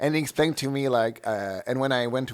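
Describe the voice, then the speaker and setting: Fairly quick speech from a man in a French Canadian accent, with ordinary pitch variation, on a very clean recording against a silent background. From Quebec. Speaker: drag performer. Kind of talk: interview. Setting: radio studio. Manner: halting.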